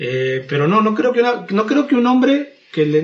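Somewhat breathy, a man talks at a moderate pace. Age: 30s. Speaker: podcast guest. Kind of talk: casual debate.

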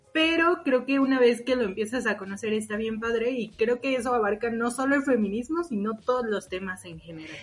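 With a plain, everyday voice, a woman talks at a fairly quick pace with hardly any pauses, her fairly high pitch showing ordinary variation while her loudness swings a lot. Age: 20s. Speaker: podcast co-host. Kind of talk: casual chat. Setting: recording from home.

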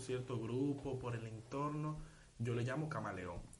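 Somewhat breathy and fairly slow, a man's voice carries audible room echo. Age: 19. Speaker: podcast co-host. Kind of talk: casual chat.

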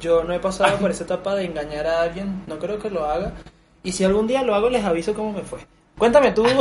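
Over noticeable background noise, a man with a Venezuelan accent speaks very fast at a high pitch, with ordinary pitch variation. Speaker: podcast host. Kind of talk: casual chat.

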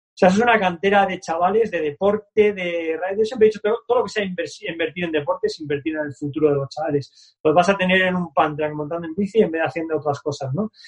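Hardly any pauses break up this very fast speech. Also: man, high pitch for a man, ordinary pitch variation. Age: 50s. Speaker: BMX club founder and coach. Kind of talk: casual interview.

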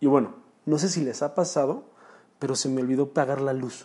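Dark and mellow in tone, a man's fairly high voice moves at a moderate pace with ordinary pitch variation. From Mexico, Chalco, State of Mexico. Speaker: entrepreneur podcaster. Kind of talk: personal storytelling monologue. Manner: casual.

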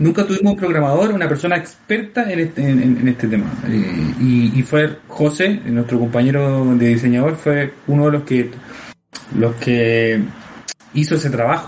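A man with a Latin American accent, medium pitch, lively intonation and a moderate pace. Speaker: art director and game creator. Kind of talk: casual chat. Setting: home recording. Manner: halting.

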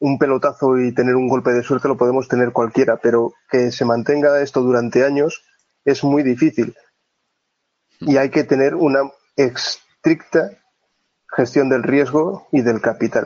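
A man's normal speaking voice at medium pitch, fairly slow in pace, with fairly even intonation and very even loudness. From Asturias, northern Spain. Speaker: trader. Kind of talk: interview.

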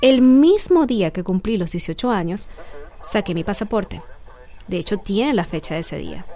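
Her pitch rises and falls very widely as the woman talks at a moderate pace. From Venezuela (Barquisimeto). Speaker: podcast host, immigration advisor. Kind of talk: scripted narration.

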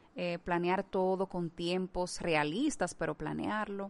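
Against a quiet background, a woman with a plain, everyday voice speaks at a fairly slow pace, medium in pitch with ordinary pitch variation. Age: 30s. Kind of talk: devotional talk.

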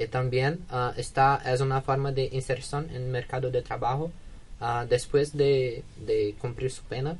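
A man with a Portuguese accent talks at a fairly slow pace in a monotone, flat intonation. His voice is somewhat breathy and medium in pitch. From Brazil, Minas Gerais. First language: Portuguese (speaking Spanish). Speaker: exchange student. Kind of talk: radio interview. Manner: halting.

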